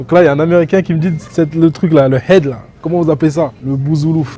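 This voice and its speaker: Over noticeable background noise, a man with a West African accent talks at a fairly quick pace. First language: Soninke (speaking French). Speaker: travel and food vlogger. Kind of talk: casual vlog narration. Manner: animated.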